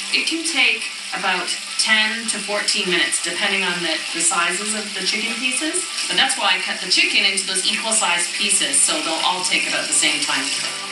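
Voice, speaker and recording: A woman talking at a fairly quick pace, with audible room echo and clear music in the background. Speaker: cooking show host. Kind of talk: tutorial. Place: kitchen.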